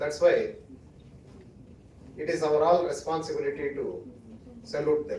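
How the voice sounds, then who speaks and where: A man with a Kannada accent speaks at a moderate pace with long, frequent pauses, and audible room echo is present. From India, Karnataka (Western Ghats village). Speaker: judge or senior legal figure, chief guest. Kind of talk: ceremonial speech. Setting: auditorium with audience.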